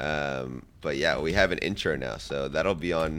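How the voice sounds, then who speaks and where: Vocal fry runs through the speech. The pitch moves up and down in an ordinary way. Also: man. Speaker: podcast co-host. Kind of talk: casual chat.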